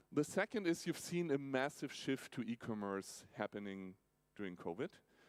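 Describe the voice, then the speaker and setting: Speaking in a German accent, the voice moves through very wide pitch swings. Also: man, dry, close sound with no echo. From Germany, Nuremberg. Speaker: tech company automotive executive. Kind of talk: keynote talk. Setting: stage with audience in an opera house.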